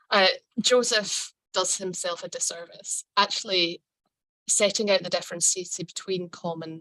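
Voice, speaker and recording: Fairly low-pitched and bright, sharp in tone, a woman speaks at a moderate pace with fairly even intonation, the sound dry and close with no echo. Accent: Scottish. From Scotland. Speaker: lawyer. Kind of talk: lecture. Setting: video call.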